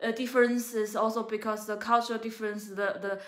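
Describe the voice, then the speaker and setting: Speaking at a fairly quick pace, a woman keeps a monotone, flat intonation at a fairly high pitch. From China. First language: Chinese (Mandarin). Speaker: travel vlogger. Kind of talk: casual chat. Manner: halting, many fillers.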